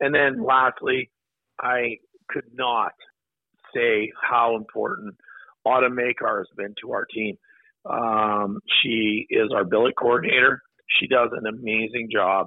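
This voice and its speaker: Fairly slow speech from a man, broken by long, frequent pauses. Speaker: hockey operations staff member. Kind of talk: phone interview. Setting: phone call. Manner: hesitant, many filler words.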